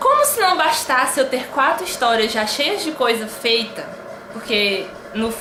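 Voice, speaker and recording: With an animated tone, a woman speaks at a moderate pace amid audible room echo and noticeable background noise. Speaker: amateur writer vlogger. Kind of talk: casual vlog monologue.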